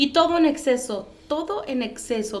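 Very wide pitch swings amid audible room echo and noticeable background noise. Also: woman. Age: 30s. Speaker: podcast host. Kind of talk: interview. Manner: halting.

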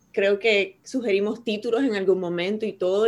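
In an ordinary speaking voice, a woman talks at a medium pitch and a moderate pace, on a very clean recording with a silent background. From Puerto Rico. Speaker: poet and university professor. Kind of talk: casual interview.

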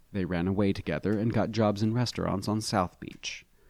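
Unforced reading with rather level intonation

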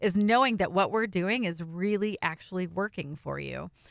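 In a bright, sharp, animated tone, a woman speaks at medium pitch and a moderate pace with ordinary pitch variation, the sound dry and close with no echo on a very clean recording with a silent background. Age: 40s. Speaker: podcast co-host, inspirational speaker. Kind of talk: casual chat.

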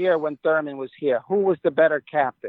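A man in an American accent speaks with fairly even intonation. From New York City, the Bronx. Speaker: baseball team community advisor. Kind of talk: interview storytelling. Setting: phone call.

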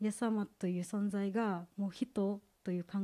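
In an Indonesian accent, a woman speaks at medium pitch with a dark, mellow tone and fairly even intonation, in a dry, close sound with no echo. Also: very clean recording, silent background. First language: Indonesian (speaking Japanese). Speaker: graduate student, church member giving testimony. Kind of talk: testimony. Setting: church service. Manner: halting.

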